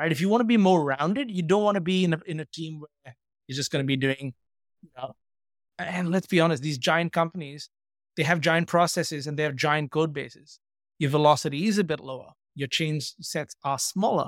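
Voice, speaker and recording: This is a man with a normal speaking voice, fairly high in pitch and at a fairly quick pace. His loudness swings widely, and the recording is very clean with a silent background. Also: ordinary pitch variation, dry, close sound with no echo. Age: 40s. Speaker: software engineer and coding mentor. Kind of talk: casual interview.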